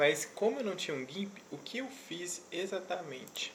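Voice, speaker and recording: Soft-spoken speech comes at a fairly slow pace with lively intonation. Audible room echo and noticeable background noise are present. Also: man. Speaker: web development youtuber. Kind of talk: tutorial. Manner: soft-spoken, speaking very quietly; casual.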